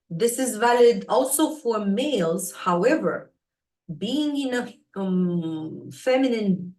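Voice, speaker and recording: A woman with a non-native accent speaks in a somewhat breathy voice, her pitch swinging very widely. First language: not English. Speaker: spiritual teacher, astrology live host. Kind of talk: live stream talk. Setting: live stream on social media. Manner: hesitant, many fillers.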